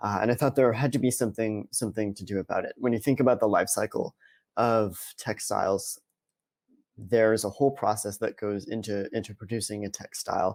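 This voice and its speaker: A man with an American accent talks at a fairly quick pace with fairly even intonation. The recording is very clean with a silent background, and the sound is dry and close with no echo. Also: medium pitch for a man. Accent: Boston accent, suppressed. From US Northeast, Boston area. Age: 20s. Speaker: sustainability analyst at a snack company. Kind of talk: conference presentation. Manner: hesitant, many fillers and repetitions.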